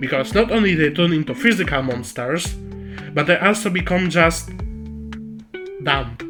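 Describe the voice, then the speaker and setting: The speaker has a non-native accent and takes long, frequent pauses. Music plays in the background. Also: moderate pace. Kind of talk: video lore essay. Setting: recorded on camera audio, slightly muffled. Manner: joking, irreverent.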